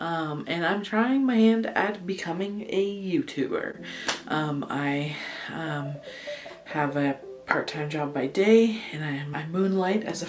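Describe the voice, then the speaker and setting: A woman speaks very slowly at a fairly low pitch, with lively intonation. There is noticeable background noise and audible room echo. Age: 20s. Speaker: vlogger and amateur photographer. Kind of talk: casual vlog monologue. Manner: hesitant, many fillers; animated.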